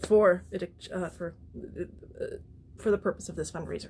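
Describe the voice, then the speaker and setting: A woman at medium pitch and a moderate pace. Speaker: artist running a charity fundraiser. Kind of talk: livestream monologue. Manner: halting, with repetitions.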